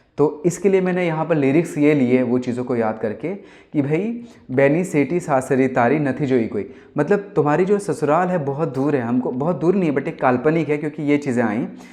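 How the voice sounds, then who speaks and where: A man with a Gujarati accent speaks at a fairly high pitch and a moderate pace. His tone is dark and mellow, with ordinary pitch variation. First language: Gujarati (speaking Hindi). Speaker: singer-songwriter. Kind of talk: casual talk to camera. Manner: animated.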